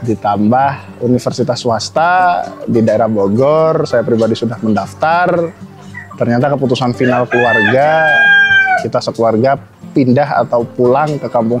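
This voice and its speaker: Music plays in the background as the voice moves at a moderate pace. Loudness stays very even, with ordinary pitch variation. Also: man. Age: 20s. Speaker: chicken farmer. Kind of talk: interview testimony.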